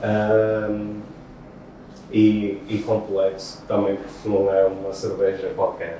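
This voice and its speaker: Amid noticeable background noise and audible room echo, a man with a fairly low pitch speaks at a very slow pace in a monotone, flat intonation. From Portugal, Porto. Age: 30s. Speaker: beatboxer. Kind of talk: interview. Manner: halting, many fillers and repetitions.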